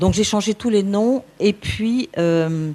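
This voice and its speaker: A woman's dark, mellow tone with lively intonation. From France, Versailles. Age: 70s. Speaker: former nun, author. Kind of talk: personal testimony. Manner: halting.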